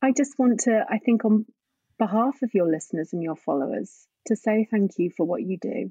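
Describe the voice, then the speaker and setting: A woman with a dark, mellow tone and fairly high pitch speaks at a moderate pace, somewhat breathy, with lively intonation, in a dry, close sound with no echo. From northern England, Scunthorpe, North Lincolnshire. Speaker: grief and drama therapist. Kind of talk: casual interview chat.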